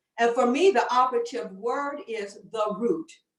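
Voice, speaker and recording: Lively intonation marks this woman's fairly high-pitched speech. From US Midwest, Chicago. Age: 60s. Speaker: faith leader, panelist. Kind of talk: panel discussion talk.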